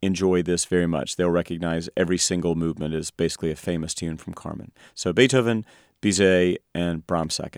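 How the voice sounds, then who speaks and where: The man's voice is very deep and low. The recording is very clean with a silent background and a dry, close sound with no echo. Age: 50s. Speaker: orchestra conductor. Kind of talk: interview talk about concert season.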